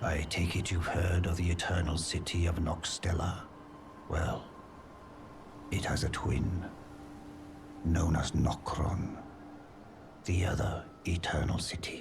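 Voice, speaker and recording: Over clear background noise, a man does a put-on character voice with a very deep, low pitch, a fairly slow pace and long, frequent pauses. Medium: machinima. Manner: courteous, earnest.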